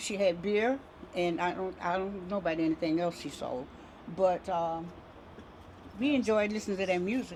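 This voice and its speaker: A woman at medium pitch and a moderate pace, with ordinary pitch variation and long, frequent pauses. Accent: American. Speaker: community elder. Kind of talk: oral history interview.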